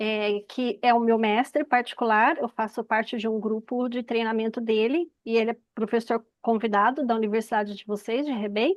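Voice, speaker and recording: A woman with a plain, everyday voice talks with hardly any pauses and fairly even intonation. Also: fairly high pitch for a woman, moderate pace. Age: 50s. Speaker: audience member asking questions, Chinese medicine teacher. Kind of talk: Q&A at an online information session.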